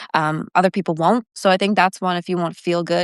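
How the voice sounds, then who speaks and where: With a Canadian accent, a woman speaks at medium pitch and a fairly quick pace in an unremarkable speaking voice, the sound dry and close with no echo over a quiet background. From small-town Ontario, Canada. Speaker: country singer-songwriter. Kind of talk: interview. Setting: live video stream. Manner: casual, filler-heavy.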